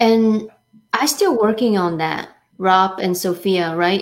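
A woman with a normal speaking voice, medium pitch, ordinary pitch variation and a fairly slow pace. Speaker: co-host. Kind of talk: interview.

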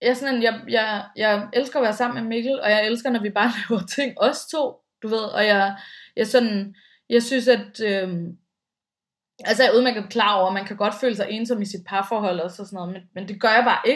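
This woman has a plain, everyday voice, fairly high in pitch, with fairly even intonation and big swings in loudness. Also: moderate pace. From Denmark, Bornholm. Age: 30s. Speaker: radio host and podcaster. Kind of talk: casual interview chat. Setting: remote recording from home.

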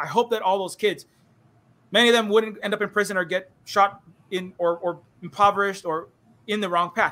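With a Hawaiian accent, a man speaks at a high pitch and a fairly quick pace. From Hawaii, Honolulu (Kalihi). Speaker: streamer and indie game developer. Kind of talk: casual interview on live stream. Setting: online live stream. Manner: animated, rapid ranting; halting with many repetitions.

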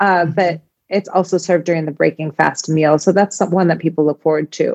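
A woman speaks with a Chicago accent at a fairly quick pace. The recording is dry and close, with no echo. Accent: Chicago American English. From US Midwest, Chicago. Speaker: home cook and food blogger. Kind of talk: casual interview. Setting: remote call.

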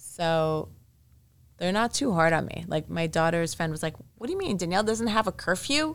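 Heard in a very clean recording with a silent background, a woman with a plain, everyday voice speaks at a fairly low pitch and a moderate pace with ordinary pitch variation. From Montreal, Canada. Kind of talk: interview.

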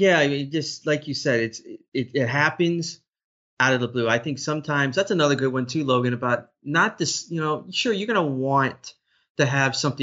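An unremarkable speaking voice belongs to a man with an American accent. His pitch is medium and his pace fairly quick. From Florida, Orlando. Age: 40s. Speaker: play-by-play broadcaster. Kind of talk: interview.

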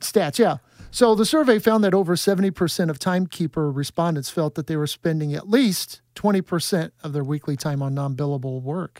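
Speaking at a fairly quick pace with hardly any pauses, a man with an ordinary speaking voice and a fairly high pitch uses ordinary pitch variation in a very clean recording with a silent background and a dry, close sound with no echo. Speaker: public relations manager. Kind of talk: casual chat.

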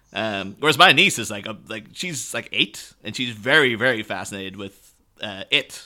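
Speaking in an animated tone with an Irish accent, a man with a fairly low voice keeps a moderate pace with hardly any pauses and big swings in loudness. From Ireland. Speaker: guest podcast host. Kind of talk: casual chat. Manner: animated, laughing often.

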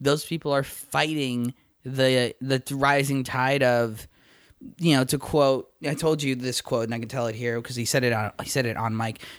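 On a very clean recording with a silent background, a man uses a plain, everyday voice, with medium pitch, a moderate pace and fairly even intonation. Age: 40s. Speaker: podcast host and screenwriter. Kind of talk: casual chat.

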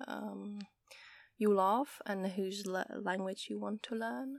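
A woman with a Czech accent speaks at medium pitch and a very slow pace in a very clean recording with a silent background. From Czech Republic. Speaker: podcast host and Czech language tutor. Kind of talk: casual solo podcast monologue. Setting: outdoors in a garden. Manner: frequent laughter.

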